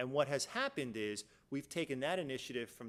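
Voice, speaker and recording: The speaker is a man with a medium pitch. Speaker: business executive presenter. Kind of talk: conference presentation. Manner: fast.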